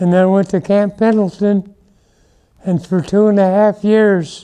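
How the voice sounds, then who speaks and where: A man's high-pitched voice, dark and mellow in tone, monotone and flat in intonation, with very even loudness. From Southern California, Los Angeles area. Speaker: war veteran. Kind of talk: interview.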